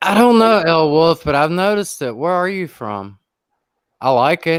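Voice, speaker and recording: A man with a Southern US accent talks at a moderate pace. His high voice moves through very wide pitch swings. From US South, South Carolina. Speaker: YouTuber live streamer. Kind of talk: casual chat on a livestream.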